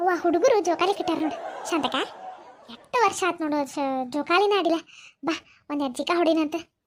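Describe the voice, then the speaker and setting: A woman's cartoonish character voice at an extremely high pitch. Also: moderate pace. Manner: chatty, warm.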